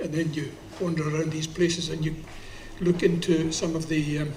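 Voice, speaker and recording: A man's fairly high voice with a Scottish accent, monotone, flat intonation and a moderate pace, in audible room echo. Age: 70s. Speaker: poet. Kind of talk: spoken-word performance with anecdotes. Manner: halting.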